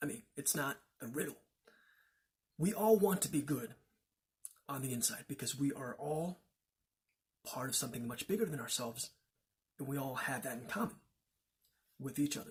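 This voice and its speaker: With long, frequent pauses, a man speaks at a moderate pace in a somewhat breathy voice with a fairly high pitch. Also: lively intonation. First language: Chinese. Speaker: religious teacher. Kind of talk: lecture. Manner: halting.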